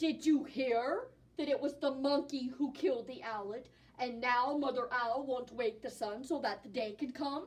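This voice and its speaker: A woman uses a put-on character voice. It sits at a high pitch. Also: moderate pace. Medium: read story. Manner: measured, authoritative.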